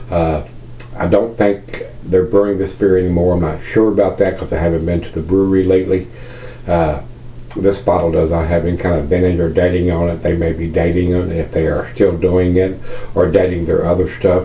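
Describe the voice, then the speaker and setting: A man with a Virginia accent, a very deep, low pitch and fairly even intonation, with audible room echo and noticeable background noise. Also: fairly quick pace. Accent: Southern US, Virginia. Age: 60s. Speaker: beer reviewer. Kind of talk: casual video review monologue. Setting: at home. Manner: halting, many fillers.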